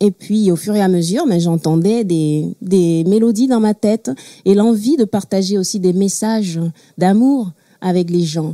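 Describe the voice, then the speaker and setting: With a Togolese accent, the speaker has a dark, mellow tone, very even loudness, a fairly slow pace, ordinary pitch variation and a dry, close sound with no echo. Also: woman, medium pitch for a woman. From Togo, Lomé. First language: Mina (speaking French). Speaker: singer-songwriter. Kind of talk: talk show interview. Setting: studio with audience.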